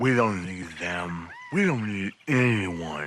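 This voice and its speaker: A man's cartoonish character voice, fairly low and fairly slow. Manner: smug, relaxed.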